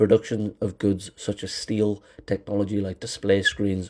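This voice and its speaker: In a British accent, a man speaks at a moderate pace in a fairly low, somewhat breathy, monotone voice on a very clean recording with a silent background. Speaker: film commentary YouTuber. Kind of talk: scripted commentary monologue. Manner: hesitant, with fillers and repetitions.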